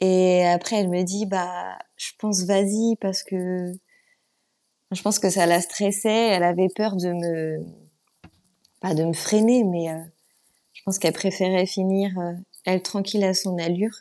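A woman's dark, mellow tone at medium pitch, flat and monotone, fairly slow, with long, frequent pauses. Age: 30s. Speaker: amateur runner and beekeeping business owner. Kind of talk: casual interview.

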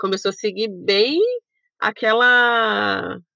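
The speaker is a woman. Her voice is fairly high. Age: 30s. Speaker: travel YouTuber, former systems analyst. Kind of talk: casual interview chat.

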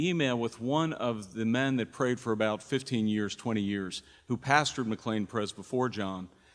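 A man talks with an unremarkable speaking voice at a medium pitch. He keeps a moderate pace with ordinary pitch variation. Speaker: church pastor. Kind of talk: introducing a guest preacher at a church service. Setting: church.

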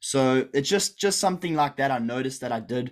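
Here a man talks in an ordinary speaking voice at medium pitch. His pace is fairly quick and his intonation lively. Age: 20s. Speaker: online business coach. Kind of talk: live-streamed group call. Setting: video call livestream. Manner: casual, filler-heavy.

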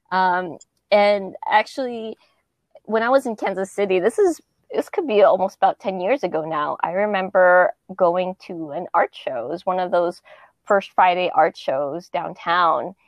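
A woman with an American accent, fairly slow in pace, with ordinary pitch variation. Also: medium pitch for a woman. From Southern California. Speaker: musician and percussion teacher. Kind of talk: casual interview. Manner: hesitant, many fillers.

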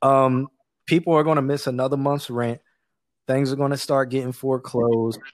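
A man speaks at a fairly quick pace with a medium pitch. His intonation is flat and monotone. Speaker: podcast guest. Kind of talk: casual chat. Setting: remote call.

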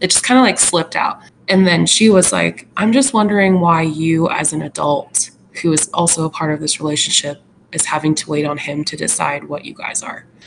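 Over noticeable background noise, a woman with a fairly low voice talks at a fairly quick pace with lively intonation. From Alaska. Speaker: podcast co-host. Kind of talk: casual chat. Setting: video call. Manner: animated.

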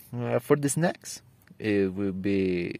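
With an ordinary amount of pitch movement, the voice carries a Spanish accent. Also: man. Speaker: student. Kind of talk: prepared speech for English exam. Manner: halting.

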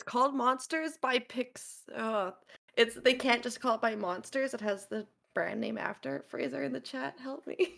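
A woman speaks at a moderate pace in a fairly high pitch, with vocal fry. Her pitch swings very widely and her loudness shifts a lot. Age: 30s. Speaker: variety streamer. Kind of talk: casual chat.

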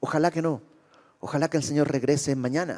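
A man with a dark, mellow tone is heard in a very clean recording with a silent background. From Bolivia. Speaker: preacher. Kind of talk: sermon.

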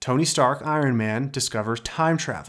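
In a very clean recording with a silent background, a man with an unremarkable speaking voice talks with ordinary pitch variation. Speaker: podcast host. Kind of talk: solo podcast monologue about storytelling.

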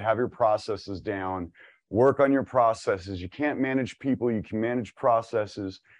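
A man with an American accent talks in a normal speaking voice at medium pitch. His pitch variation is ordinary, and the background is quiet. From California. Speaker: business speaker. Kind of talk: webinar presentation. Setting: video call.

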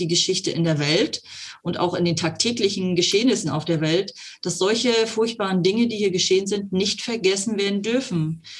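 This woman talks at a moderate pace with ordinary pitch variation, in an ordinary speaking voice. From eastern Germany, Brandenburg (Cottbus). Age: 50s. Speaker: mayor. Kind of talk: interview.

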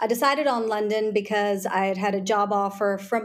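With an American accent, a woman has an unremarkable speaking voice at medium pitch, moderate pace and ordinary pitch variation. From US South, Charleston, South Carolina. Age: 40s. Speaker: lawyer and tech executive. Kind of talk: interview.

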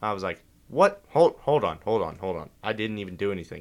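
This man has an unremarkable speaking voice with a fairly low pitch. He talks at a moderate pace. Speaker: guest. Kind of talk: casual chat.

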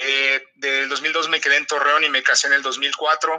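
At a moderate pace, a man is talking. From Mexico City. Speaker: process and quality engineer. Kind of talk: interview.

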